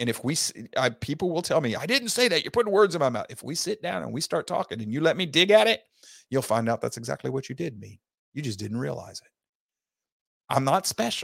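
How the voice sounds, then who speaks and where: In a very clean recording with a silent background, a man talks at a very fast pace with a fairly high pitch and vocal fry. His pitch swings very widely and his loudness rises and falls sharply. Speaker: podcast host and teacher. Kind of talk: lecture.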